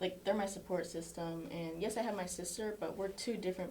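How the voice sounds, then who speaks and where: Amid noticeable background noise and audible room echo, a woman with an American accent and a fairly low voice speaks at a moderate pace. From Florida, US. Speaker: college soccer player. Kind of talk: casual chat.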